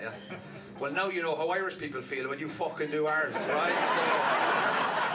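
Loud background noise surrounds the recording. A man talks over it at a moderate pace. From Ireland. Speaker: stand-up comedian. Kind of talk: stand-up comedy set. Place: stage. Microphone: handheld.

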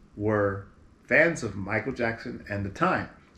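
Somewhat breathy, this voice speaks at a moderate pace with an American accent. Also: man. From Berkeley, California; California. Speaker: singer. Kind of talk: interview. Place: home room.

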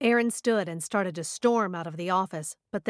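The reading aloud is plain, its pitch varies in an ordinary way, and the background is quiet.

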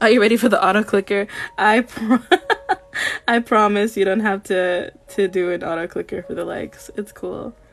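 A woman's intonation stays fairly even as she talks at a moderate pace. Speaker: digital artist streamer. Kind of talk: livestream chat while painting. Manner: deadpan; flat, little emotion in voice. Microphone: phone near.

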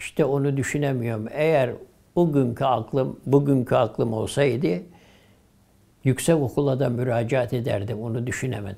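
At medium pitch, a man speaks with a dark, mellow tone. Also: ordinary pitch variation, moderate pace. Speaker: retired imam. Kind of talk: oral history interview answer. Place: home room. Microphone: lapel.

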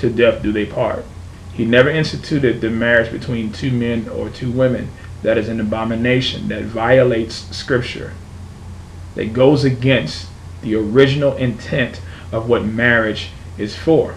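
Light background noise sits behind a man speaking at a moderate pace with ordinary pitch variation. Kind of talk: religious opinion monologue. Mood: earnest, firm. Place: home room. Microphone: webcam.

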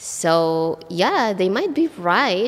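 A woman speaks very slowly in an Indonesian accent, her pitch swinging very widely. Music plays in the background. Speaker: English teacher. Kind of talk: vlog monologue.

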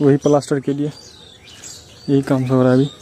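A man's medium-pitched, dark, mellow voice at a fairly quick pace, with monotone, flat intonation

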